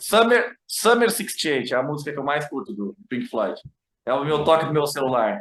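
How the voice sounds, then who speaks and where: A man speaks with a southern Brazilian accent at a fairly high pitch. His pitch swings very widely, and his pace is moderate. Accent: gaúcho accent, returning. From Rio Grande do Sul, Brazil. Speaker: journalist. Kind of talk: casual chat.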